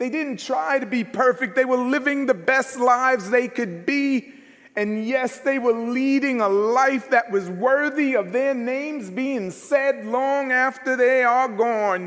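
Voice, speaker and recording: A loud man with an American accent talks at extremely high pitch and a fairly slow pace, with hardly any pauses. His tone is animated, with ordinary pitch variation. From New York. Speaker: minister. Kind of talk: sermon.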